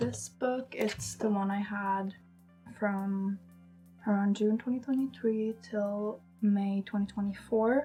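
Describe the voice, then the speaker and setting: With music in the background, a woman talks at a fairly high pitch with ordinary pitch variation. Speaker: artist. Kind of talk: casual talk to camera.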